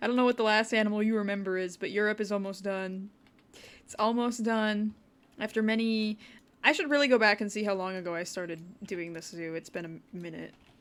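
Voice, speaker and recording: With a Wisconsin accent, this speaker goes at a fairly quick pace with ordinary pitch variation and big jumps in loudness, on a very clean recording with a silent background. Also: woman, medium pitch for a woman. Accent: Wisconsin Midwestern. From US Midwest, Wisconsin. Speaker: video game streamer. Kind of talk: casual livestream commentary.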